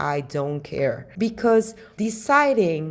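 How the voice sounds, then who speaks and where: A woman talks at a very slow pace. Her pitch sits in the medium range. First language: Spanish. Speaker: podcaster, study-abroad adviser. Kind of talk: podcast monologue.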